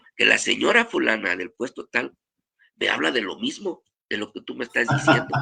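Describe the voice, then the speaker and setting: In a dry, close sound with no echo, a man talks at moderate speed. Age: 60s. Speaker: pastor. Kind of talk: testimony.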